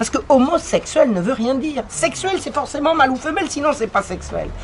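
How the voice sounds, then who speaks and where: A woman's high voice with lively intonation at a moderate pace, over noticeable background noise. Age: 60s. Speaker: historian and author. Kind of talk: conference talk.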